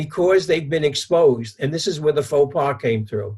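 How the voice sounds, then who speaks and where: In a New York accent, a man with a fairly high pitch speaks with lively intonation. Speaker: psychologist. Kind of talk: interview, telling an anecdote.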